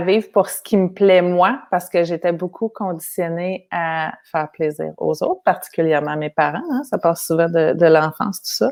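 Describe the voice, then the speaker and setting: In a Quebec accent, a woman speaks with a fairly low pitch and ordinary pitch variation on a very clean recording with a silent background. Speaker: human design participant, mother. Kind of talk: testimony. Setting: live video stream.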